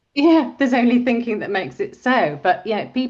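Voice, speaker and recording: The pitch of this woman's voice swings very widely. It sits fairly high overall. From Brazil until age 8, then England. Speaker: dyslexic interviewee. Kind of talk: interview. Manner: halting, repetitive.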